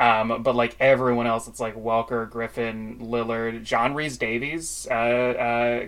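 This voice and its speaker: With music in the background, a man speaks at a medium pitch in a monotone, flat intonation. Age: 30s. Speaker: podcast host and puppetry enthusiast. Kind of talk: casual chat. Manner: halting, many fillers.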